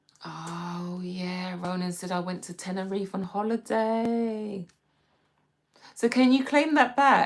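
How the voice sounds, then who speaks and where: With a London accent, a woman speaks at a very slow pace and a medium pitch. Her loudness swings widely while her pitch varies in an ordinary way. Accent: British (London). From London, England. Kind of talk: casual livestream chat.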